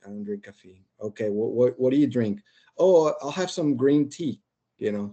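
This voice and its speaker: With a Spanish accent, a man speaks at a moderate pace and medium pitch. His tone is dark and mellow, and his intonation is lively. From Colombia, Barranquilla (Caribbean coast). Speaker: podcast guest, engineering team lead. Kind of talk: casual chat, storytelling. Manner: animated.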